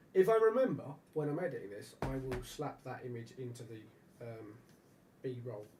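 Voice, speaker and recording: A man's dark, mellow, somewhat breathy voice carries audible room echo. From England. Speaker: live stream host and radio channel owner. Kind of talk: casual chat. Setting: live stream. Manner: animated.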